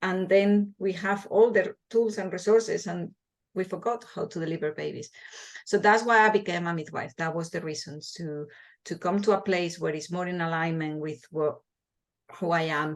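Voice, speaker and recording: Someone with a Spanish accent talks at a moderate pace with ordinary pitch variation. The background is quiet. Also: woman, medium pitch for a woman. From Spain, small village. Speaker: midwife and hypnobirthing teacher. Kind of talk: interview. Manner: halting, with repeated words.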